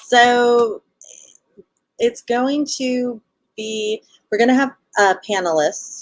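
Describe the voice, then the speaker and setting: Speaking very slowly with long, frequent pauses, a woman with a Southern Californian accent uses a high pitch and ordinary pitch variation, recorded with a dry, close sound and no echo. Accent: Valley Girl. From Los Angeles, California. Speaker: festival organizer, libertarian guest. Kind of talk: casual interview on livestream.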